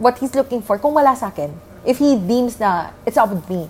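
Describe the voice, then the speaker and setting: Moving at a moderate pace, a woman with a Filipino accent uses very wide pitch swings. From Philippines, Angeles. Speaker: podcast co-host. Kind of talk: casual chat.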